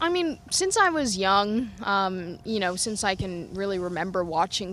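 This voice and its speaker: At a moderate pace, a normal speaking voice talks with an American accent. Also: woman. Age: young. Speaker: racing driver. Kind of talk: interview. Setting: at a racetrack.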